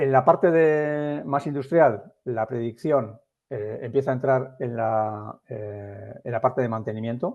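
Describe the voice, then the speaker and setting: Speech comes at a fairly slow pace with ordinary pitch variation and big swings in loudness. The background is quiet. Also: man, medium pitch for a man. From Biscay, Basque Country, Spain. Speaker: industry AI consultant. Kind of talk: webinar presentation. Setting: online webinar. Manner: hesitant with many fillers.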